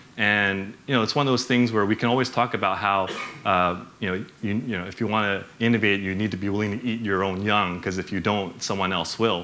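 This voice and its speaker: A man with an American accent, fairly low in pitch and bright, sharp in tone, at a fairly quick pace with hardly any pauses and audible room echo. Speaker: bank executive, conference speaker. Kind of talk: conference talk. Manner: animated; many fillers, casual.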